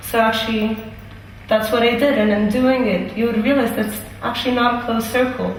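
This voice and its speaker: A woman with a fairly high voice speaks fairly quickly in a monotone, flat intonation at very even loudness. Audible room echo and noticeable background noise surround her. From Italy. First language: Italian. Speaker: university student. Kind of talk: interview. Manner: hesitant, with many fillers.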